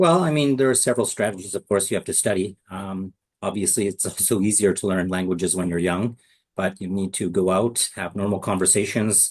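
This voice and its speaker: With a Canadian accent, a man talks at a fairly quick pace and fairly low pitch in an ordinary speaking voice, showing ordinary pitch variation against a quiet background. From Canada. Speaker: English lecturer. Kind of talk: interview.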